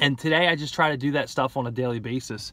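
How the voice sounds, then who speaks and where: A man with an American accent speaks at a fairly quick pace with ordinary pitch variation in a dry sound with no echo. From New Jersey (Gloucester City). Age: 20s. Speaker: person in addiction recovery. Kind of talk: personal testimony. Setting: in a car. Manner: casual, filler-heavy. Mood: calm, reflective. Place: car. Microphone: phone near.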